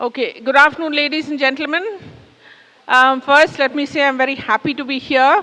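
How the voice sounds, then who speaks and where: A woman projects her voice in a raised, high pitch. She moves at a fairly quick pace with ordinary pitch variation. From India. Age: 60s. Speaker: public speaker. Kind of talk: talk to an audience. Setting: stage with audience. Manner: conversational.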